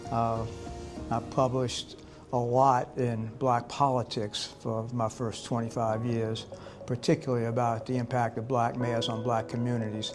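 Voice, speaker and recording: With an American accent, a man speaks at a moderate pace. His medium-pitched voice has a monotone, flat intonation. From US South, New Orleans. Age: 80s+. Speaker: professor. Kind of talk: interview. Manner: halting.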